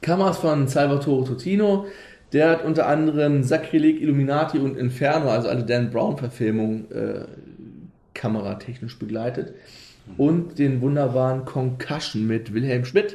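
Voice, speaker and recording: Somewhat breathy, with a dark, mellow tone, a man speaks at a medium pitch with ordinary pitch variation amid audible room echo. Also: moderate pace. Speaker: podcast host. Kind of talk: casual chat.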